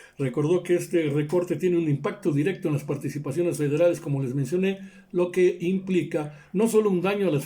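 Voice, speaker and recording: Pace and pitch movement are both moderate and ordinary here. The tone is dark and mellow. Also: man. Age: 60s. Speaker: political commentator. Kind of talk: news commentary monologue.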